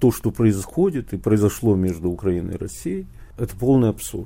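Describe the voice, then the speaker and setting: The voice has a dark, mellow tone. The pace is moderate. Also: man. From Odessa, Ukraine. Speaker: writer. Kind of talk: interview.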